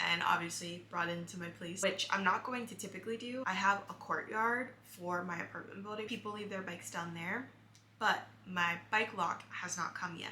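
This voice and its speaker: A woman at medium pitch, moderate pace and fairly even intonation, with hardly any pauses, audible room echo and noticeable background noise. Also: big swings in loudness. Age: 20s. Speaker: lifestyle vlogger. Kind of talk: casual vlog talk to camera. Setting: at home in apartment. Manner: chatty, filler-heavy.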